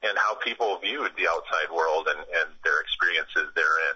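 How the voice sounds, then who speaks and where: In an Upper Midwest accent, a man speaks at a fairly quick pace. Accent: Upper Midwest American. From Madison, Wisconsin. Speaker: nonprofit founder. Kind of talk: radio interview.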